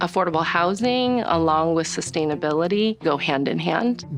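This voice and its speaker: Music plays in the background as a woman with a West Coast accent speaks at a moderate pace. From US Northwest. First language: Chinese. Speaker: city department director. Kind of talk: documentary interview.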